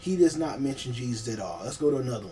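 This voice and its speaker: Intonation here is lively. The man moves along at a fairly quick pace. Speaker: online video creator. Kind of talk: casual video monologue on history. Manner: fast; halting, many fillers.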